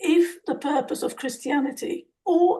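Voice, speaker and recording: A woman's dark, mellow tone at a very slow pace with ordinary pitch variation. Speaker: participant in faith discussion group. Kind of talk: group discussion comment.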